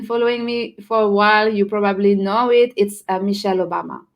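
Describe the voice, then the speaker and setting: With a French accent, a woman speaks at a fairly quick pace. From France. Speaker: personal branding strategist. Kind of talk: casual interview chat.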